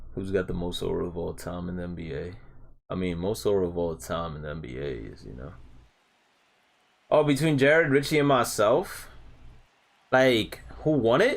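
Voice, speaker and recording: Speaking at a moderate pace with long, frequent pauses, a man with a very deep, low pitch and vocal fry shows very wide pitch swings and big swings in loudness. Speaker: video game streamer. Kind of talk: live stream chat. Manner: projected from the diaphragm; casual slangy.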